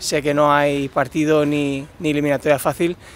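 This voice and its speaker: Dry, echo-free sound carries a man's fairly high-pitched voice at a moderate pace. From Spain, Málaga and Barcelona; Spain. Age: 30s. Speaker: tennis player. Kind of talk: interview. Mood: friendly, relaxed. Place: stadium. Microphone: lapel.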